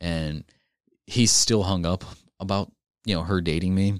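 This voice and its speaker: Dry and close with no echo, a man speaks with an American accent in a very deep, low pitch. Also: very clean recording, silent background. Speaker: podcast host. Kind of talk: casual banter. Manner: fast talker.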